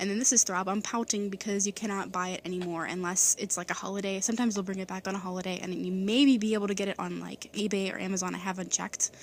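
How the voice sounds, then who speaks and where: A woman's very fast, monotone delivery with flat intonation. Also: medium pitch for a woman. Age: 20s. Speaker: beauty vlogger. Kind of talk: tutorial.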